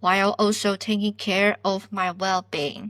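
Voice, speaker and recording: A woman talks at a fairly slow pace and a medium pitch, with a non-native accent. Her tone is bright and sharp, and the sound is dry and close with no echo. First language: not English. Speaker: podcast host, PhD student. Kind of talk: self-help podcast monologue.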